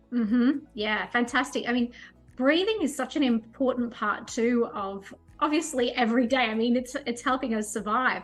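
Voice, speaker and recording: At a moderate pace and with ordinary pitch variation, the voice is heard over music in the background. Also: woman, high pitch for a woman. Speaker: life and career coach. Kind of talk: interview host, conversational.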